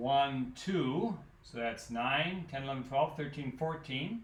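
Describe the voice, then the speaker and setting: The speaker goes at a very slow pace with lively intonation, and audible room echo surrounds the voice. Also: man. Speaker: math teacher. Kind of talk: lecture. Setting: recorded alone without students.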